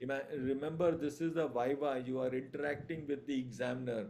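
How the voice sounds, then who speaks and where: A man's dark, mellow voice with fairly even intonation and audible room echo. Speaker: surgery lecturer. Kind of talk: online revision lecture. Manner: hesitant with fillers.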